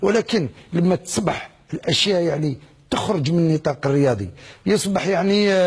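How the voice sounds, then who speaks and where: This man's voice is fairly high in pitch. He speaks at a moderate pace with ordinary pitch variation. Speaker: former footballer. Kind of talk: TV interview answer.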